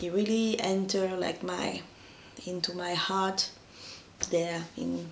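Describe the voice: Audible room echo surrounds a woman speaking at a medium pitch.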